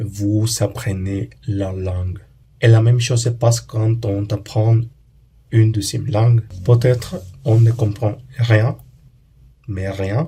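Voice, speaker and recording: Speaking at a very slow pace with long, frequent pauses, a man has a somewhat breathy, dark, mellow tone, medium pitch and fairly even intonation. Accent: Spanish. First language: Spanish (speaking French). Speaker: language learning YouTuber. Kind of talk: educational monologue. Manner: halting, with hesitations and repeats.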